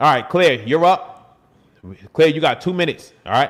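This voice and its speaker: A man speaks at a fairly quick pace. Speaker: fitness coach hosting live stream. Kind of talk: live stream Q&A. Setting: live stream. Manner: fast.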